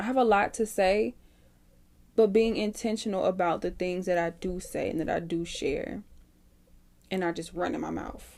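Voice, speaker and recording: Southern US accent from a woman. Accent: Southern US country twang. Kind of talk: podcast talk. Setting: home microphone, unedited. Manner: reflective, hesitant, unscripted.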